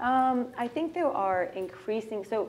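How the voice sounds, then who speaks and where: A woman talks with an American accent. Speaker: startup founder and CEO. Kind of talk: fireside chat. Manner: animated.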